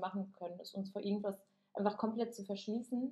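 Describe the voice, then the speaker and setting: A woman talks at a fairly quick pace in a dark, mellow tone with fairly even intonation. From Germany. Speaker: podcast co-host, yoga teacher. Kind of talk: casual chat.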